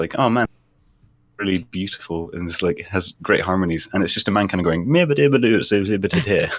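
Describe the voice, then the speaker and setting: A man with a slight Scottish accent speaks at a very fast pace with lively intonation. The recording is very clean, with a silent background. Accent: faint Scottish intonation. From Scotland. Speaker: podcast co-host. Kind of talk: casual chat.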